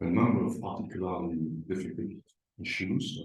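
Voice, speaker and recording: This man's voice is very deep and low in pitch, somewhat breathy, with ordinary pitch variation. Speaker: lecturer. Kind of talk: lecture. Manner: halting, many fillers.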